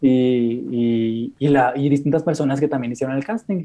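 A man talks at a moderate pace with a dark, mellow tone. His pitch is fairly high, with ordinary pitch variation. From Mexico, Monterrey. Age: 20s. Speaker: content creator. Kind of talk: interview.

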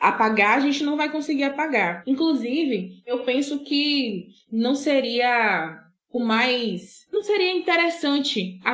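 A woman speaks very slowly in a high pitch, her voice making very wide pitch swings. Her loudness stays very even throughout. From Bahia, Brazil (Buerarema, southern Bahia). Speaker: social scientist and sociology teacher. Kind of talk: interview conversation.

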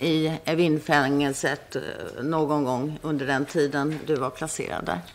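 In a Swedish accent, a woman speaks with a very deep, low pitch. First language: Swedish (speaking Persian). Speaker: prosecutor. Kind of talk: courtroom examination. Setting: courtroom.

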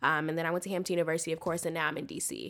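In a very clean recording with a silent background, a woman with a slight Southern US accent speaks very fast at a low pitch with a fairly bright tone. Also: fairly even intonation. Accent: American, slight Southern twang.

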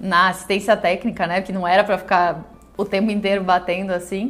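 A woman's medium-pitched voice stays monotone and flat as she talks at a moderate pace. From Rio Grande do Sul, Brazil. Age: 30s. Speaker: entrepreneur, confectionery owner. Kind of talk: personal testimony.

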